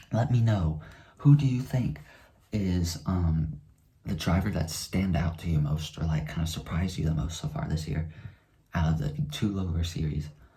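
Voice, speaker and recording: With long, frequent pauses, a man speaks in a very deep, low, dark and mellow voice that is somewhat breathy, showing ordinary pitch variation. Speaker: NASCAR YouTuber. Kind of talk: casual race recap vlog. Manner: fast.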